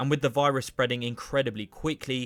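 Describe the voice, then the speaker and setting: On a very clean recording with a silent background, a man speaks in an English accent. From England. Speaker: YouTuber, TV show commentator. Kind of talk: video essay commentary.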